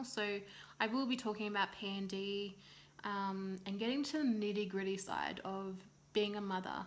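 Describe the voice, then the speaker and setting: With an Australian accent, the speaker keeps a moderate pace and fairly even intonation over audible room echo. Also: woman. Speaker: vlogger, new mother. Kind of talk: casual vlog monologue.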